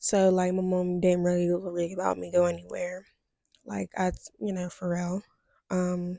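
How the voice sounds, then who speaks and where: A quiet woman speaks in a fairly low pitch with a dark, mellow tone, the sound dry and close with no echo. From US Midwest, Steubenville, Ohio. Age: 20s. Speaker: vlogger. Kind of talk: personal testimony vlog. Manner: hesitant, many fillers.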